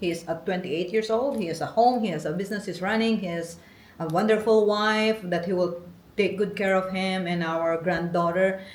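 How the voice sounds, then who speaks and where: The speaker, a woman, keeps a moderate pace. Her words ring with audible room echo. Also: medium pitch for a woman, fairly even intonation. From Philippines. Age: 40s. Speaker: interviewee, host's wife. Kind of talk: casual interview.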